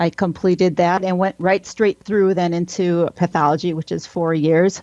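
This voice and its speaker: A woman with a Wisconsin accent, fairly low in pitch, with a dark, mellow tone and fairly even intonation, in a dry, close sound with no echo and a quiet background. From Wisconsin, near Green Bay. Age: 40s. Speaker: military pathologist. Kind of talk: interview.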